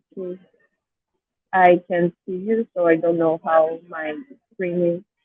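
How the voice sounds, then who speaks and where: In a Brazilian Portuguese accent, a woman with a fairly low pitch talks at a fairly slow pace in a monotone, flat intonation, her loudness swinging widely. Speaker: academic presenter. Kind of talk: academic presentation. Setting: video call from an airport.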